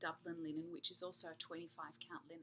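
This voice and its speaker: With an Australian accent, a woman speaks in a bright, sharp, relaxed tone marked by vocal fry. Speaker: embroidery teacher and author. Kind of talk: casual tutorial. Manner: relaxed, with frequent hesitations.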